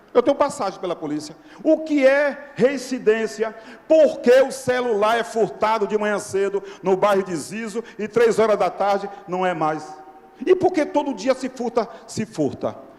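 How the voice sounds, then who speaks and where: A man with a high pitch talks in an animated tone at a fairly slow pace, his pitch swinging very widely over noticeable background noise. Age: 60s. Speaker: radio journalist, audience member at a public debate. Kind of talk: impassioned public comment at a debate. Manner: animated, exclamatory.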